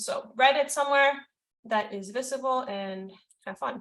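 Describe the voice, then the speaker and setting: Her tone comes across bright and sharp. A woman is the one talking. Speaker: mentorship program facilitator. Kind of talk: group video call session, instructional. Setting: video call.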